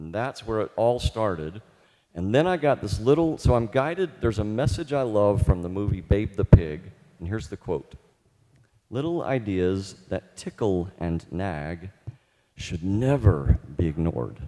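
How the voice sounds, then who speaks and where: A man talks at a fairly slow pace with a dark, mellow tone and fairly low pitch. His pitch swings very widely. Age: 50s. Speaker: composer and therapist. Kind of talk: speech to a live audience at a concert. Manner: casual, joking.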